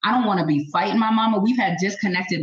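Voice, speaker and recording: Here a woman is speaking. Her tone is animated. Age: 40s. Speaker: panelist. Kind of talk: heated panel discussion. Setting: video call. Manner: animated, forceful.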